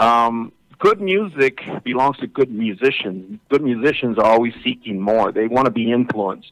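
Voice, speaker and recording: With an ordinary speaking voice, a man talks at a medium pitch and a moderate pace, using ordinary pitch variation. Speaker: lead singer of a Tejano band. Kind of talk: interview answer.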